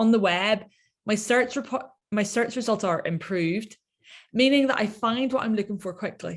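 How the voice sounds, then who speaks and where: A woman with an Irish accent talks at a fairly high pitch with ordinary pitch variation. The recording is very clean, with a silent background. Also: moderate pace. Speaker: researcher. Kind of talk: lecture.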